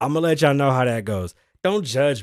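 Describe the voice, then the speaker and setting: A man talks at a fairly quick clip, his pitch swinging very widely. The sound is dry and close with no echo, and the recording is very clean over a silent background. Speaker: podcast host. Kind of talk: casual chat. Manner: animated.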